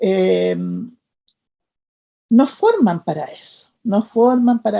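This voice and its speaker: In a dry, close sound with no echo, a woman talks very slowly. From Chile. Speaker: midwife and leader of respected childbirth advocacy. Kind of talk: interview answer.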